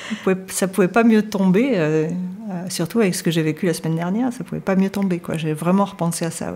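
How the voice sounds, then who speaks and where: A woman's medium-pitched voice at a fairly quick pace, with ordinary pitch variation, over noticeable background noise. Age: 60s. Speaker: life coach. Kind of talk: personal testimony in interview. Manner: hesitant, many fillers.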